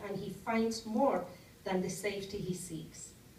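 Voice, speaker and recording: Fairly slow speech from a woman, with audible room echo. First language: Spanish. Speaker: novelist. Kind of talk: author talk to audience. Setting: library event with audience.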